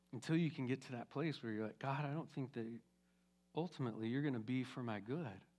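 A man talks at a very fast pace. His pitch is medium, with ordinary variation. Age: 50s. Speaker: pastor. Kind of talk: sermon. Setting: church. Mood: warm, encouraging. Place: church. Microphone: headset.

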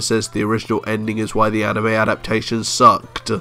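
A man talks at a very fast pace. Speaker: anime commentator. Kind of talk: video essay commentary.

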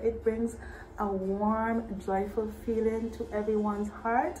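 A woman talks fairly slowly, light background noise audible behind her. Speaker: vlogger announcing local events. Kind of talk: casual vlog chat. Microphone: phone near.

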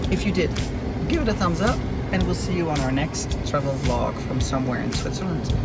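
Music plays behind a man. He talks at a fairly quick pace. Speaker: travel vlogger. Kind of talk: casual vlog chat. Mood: relaxed, cheerful. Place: car.

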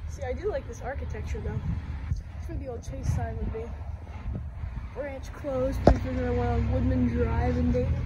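Over loud background noise, a woman speaks at a moderate pace with long, frequent pauses. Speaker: urban explorer vlogger. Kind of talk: casual vlog commentary. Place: street. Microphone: phone near.

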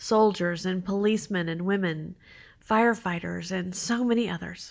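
A woman uses an ordinary speaking voice with ordinary pitch variation. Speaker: church prayer leader. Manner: earnest, solemn, supplicating; measured, reverent, with pauses between petitions.

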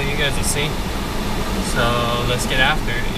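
Against loud background noise, a man speaks at a fairly quick pace in a dry sound with no echo. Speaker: vlogger. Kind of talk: casual vlog chat. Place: car. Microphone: phone near.

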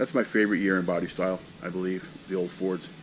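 Fairly low male voice at a moderate pace, light background noise behind him. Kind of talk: casual vlog chat. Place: workshop. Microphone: phone near.

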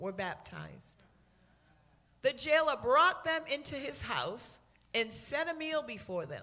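A woman projects a raised voice with a bright, sharp tone, very wide pitch swings and a fairly slow pace. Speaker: church minister reading scripture. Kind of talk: reading aloud. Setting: church with microphone. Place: church.

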